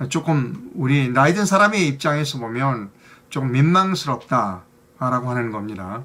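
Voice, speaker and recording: A man's voice sits at a medium pitch with a bright, sharp tone. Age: old. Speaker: news commentary host. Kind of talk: news commentary monologue. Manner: hesitant, many fillers.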